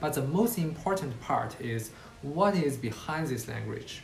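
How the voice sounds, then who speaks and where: Speaking fairly slowly with a Chinese accent, a man is heard amid noticeable background noise and audible room echo. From China, Qingdao. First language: Mandarin Chinese. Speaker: university student. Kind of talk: student presentation talk. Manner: occasional hesitations.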